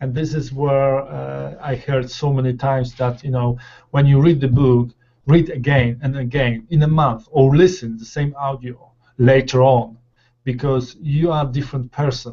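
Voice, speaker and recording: A man talks at a moderate pace in a medium, somewhat breathy voice. His intonation stays monotone and flat. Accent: non-native. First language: not English. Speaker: law of attraction panelist. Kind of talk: casual chat. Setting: video call. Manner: halting.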